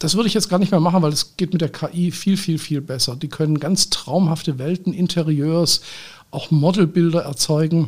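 This man talks at a moderate pace with high pitch and fairly even intonation. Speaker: podcast host and photographer. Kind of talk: solo podcast monologue. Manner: formal.

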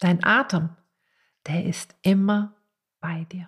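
A woman with a medium-pitched voice speaks very slowly in a gentle, calm tone. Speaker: podcast host and meditation teacher. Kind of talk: guided meditation. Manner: slow, calm, soothing; gentle, with long pauses.

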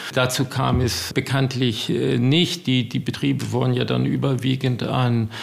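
Noticeable background noise sits under speech at a fairly slow pace. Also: man. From US (New Jersey, California). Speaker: estate owner. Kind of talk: interview.

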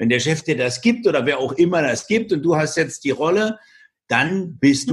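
A man speaks at a fairly quick pace in a plain, everyday voice, his intonation lively. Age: 50s. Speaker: entrepreneur, speaker and author. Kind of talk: interview.

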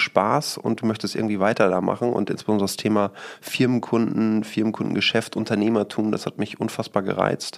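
Noticeable background noise surrounds a man speaking at a fairly quick pace with hardly any pauses. His fairly low voice stays monotone and flat. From Münsterland, Germany (Rheine area). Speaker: real estate company CEO. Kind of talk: podcast interview.

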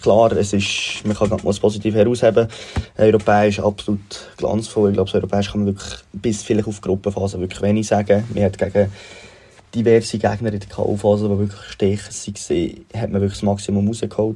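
Fairly low-pitched and somewhat breathy, this man speaks fairly quickly in a flat, monotone delivery with a dark, mellow tone. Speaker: football fan sending a voice message. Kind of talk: recorded voice message.

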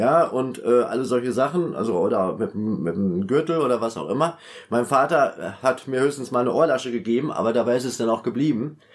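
A man with a medium pitch and ordinary pitch variation talks at a fairly quick pace amid noticeable background noise. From Westphalia, Germany (Münster). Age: 50s. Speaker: former teacher, prison inmate. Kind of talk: personal life story interview.

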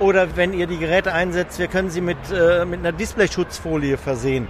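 With noticeable background noise behind him, a man talks at a fairly quick pace. His pitch is high, with ordinary pitch variation. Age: 60s. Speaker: repair business owner, former dental technician. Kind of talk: interview, technical explanation. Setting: trade fair booth.

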